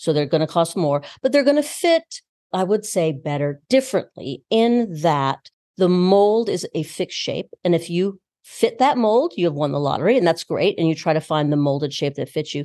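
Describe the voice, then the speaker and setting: A woman's fairly low-pitched voice with a dark, mellow tone, very wide pitch swings and a moderate pace, in a dry, close sound with no echo. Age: 60s. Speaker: bra-fitting boutique owner and former actor. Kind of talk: casual interview. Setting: in a boutique store.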